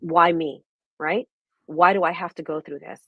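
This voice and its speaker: A woman speaks at a moderate pace with a New York accent. Her pitch sits fairly low. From Brooklyn, New York. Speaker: registered nurse and holistic wellness coach. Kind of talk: interview answer.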